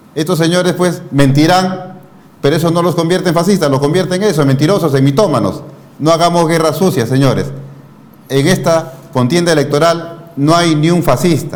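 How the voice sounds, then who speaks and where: Over noticeable background noise and audible room echo, a man talks in a high pitch at a very even loudness. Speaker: news interview host. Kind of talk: political commentary and interview.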